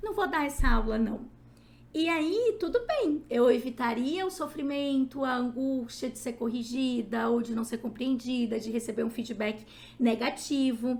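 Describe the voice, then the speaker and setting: High in pitch, a woman's voice carries an animated tone. Its pitch variation is ordinary. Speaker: psychologist and lecturer. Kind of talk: lecture.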